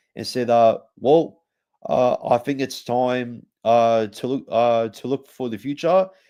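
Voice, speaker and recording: Someone with an Australian accent and a dark, mellow tone speaks at a fairly slow pace with ordinary pitch variation. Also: man. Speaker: rugby league podcast host. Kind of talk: sports preview podcast. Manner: halting, many fillers.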